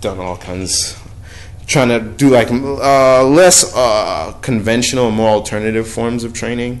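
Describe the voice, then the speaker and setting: In an American accent, the speaker goes at a fairly slow pace, with noticeable background noise and audible room echo. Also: man. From New York, Brooklyn. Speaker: touring theater performer. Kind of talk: casual chat. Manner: halting.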